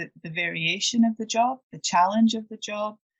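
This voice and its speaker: Lively intonation from a fairly high-pitched, somewhat breathy woman with a Scottish accent. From Scotland, Edinburgh. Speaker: property manager. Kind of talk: interview.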